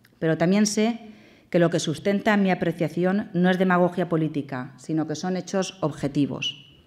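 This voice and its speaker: Over a quiet background, a woman talks at a fairly slow pace. Her voice sits fairly low, with ordinary pitch variation. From Valencia, Spain; Spain. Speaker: government delegate, politician; politician. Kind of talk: formal speech and Q&A. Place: hall. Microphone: podium.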